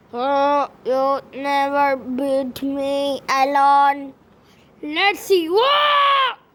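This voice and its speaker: The speaker puts on a character voice and delivers it at a very slow pace. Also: woman, high pitch for a woman. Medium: machinima. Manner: shouty, excitable.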